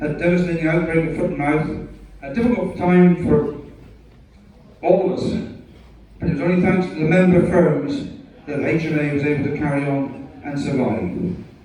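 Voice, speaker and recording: Over noticeable background noise, a man with a fairly high pitch talks at a moderate pace, with ordinary pitch variation and long, frequent pauses. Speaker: livestock auctioneer. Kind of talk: retirement speech to live audience. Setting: livestock market ring.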